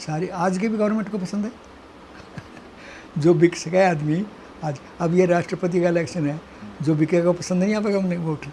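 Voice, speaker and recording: Over noticeable background noise, a man with a high pitch talks with long, frequent pauses. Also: moderate pace. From Haryana, India. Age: 80s+. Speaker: retired government official. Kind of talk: interview answer.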